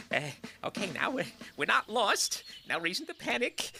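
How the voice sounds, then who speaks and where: A cartoonish character voice with a fairly high pitch moves along at a moderate pace. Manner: pompous, self-aggrandizing.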